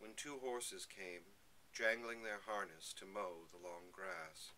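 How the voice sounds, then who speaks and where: A man speaks very slowly at a fairly low pitch, in a bright, sharp tone with lively intonation. His loudness swings widely, and light background noise is present. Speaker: poetry reader. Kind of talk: poetry reading aloud. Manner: slow, measured, lyrical. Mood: calm, reflective. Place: home room. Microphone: webcam.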